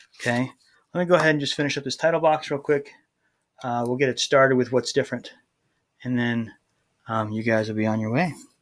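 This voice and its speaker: The speech runs at a very fast pace with long, frequent pauses and ordinary pitch variation, on a very clean recording with a silent background. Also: man, medium pitch for a man. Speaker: high school construction teacher. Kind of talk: tutorial. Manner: casual with fillers.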